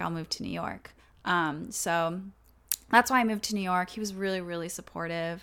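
A woman with an American accent, medium pitch, a bright, sharp tone and a fairly quick pace, on a very clean recording with a silent background. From Texas, small town. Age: 20s. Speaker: YouTuber. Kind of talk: casual chat.

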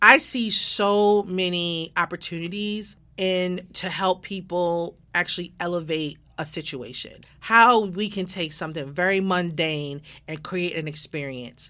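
A woman with an American accent speaks at a fairly slow pace in a fairly low pitch, with ordinary pitch variation. Her tone is bright, sharp, animated and enthusiastic, on a very clean recording with a silent background. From Baltimore, Maryland. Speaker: podcast host and design consultant. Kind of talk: scripted podcast trailer monologue. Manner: animated, enthusiastic.

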